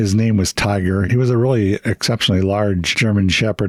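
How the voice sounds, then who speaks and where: Fairly low in pitch, a man talks in an unremarkable speaking voice with fairly even intonation. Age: 60s. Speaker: military veteran. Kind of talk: casual interview storytelling.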